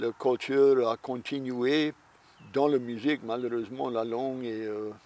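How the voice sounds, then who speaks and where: A man with a medium pitch speaks at a very slow pace in monotone, flat intonation, with a dry, close sound and no echo. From Louisiana, Vermilion Parish. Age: 60s. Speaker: Cajun musician and tour guide. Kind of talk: interview. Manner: halting.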